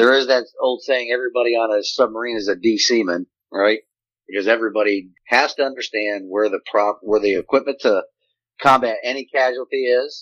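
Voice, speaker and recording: This man has an ordinary speaking voice at medium pitch. He talks at a fairly quick pace with fairly even intonation. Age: 50s. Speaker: retired navy senior enlisted, leadership consultant. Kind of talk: interview on leadership.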